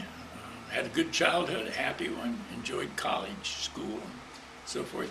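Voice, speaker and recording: A man's speech comes through with noticeable background noise. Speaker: retired minister. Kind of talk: interview answer.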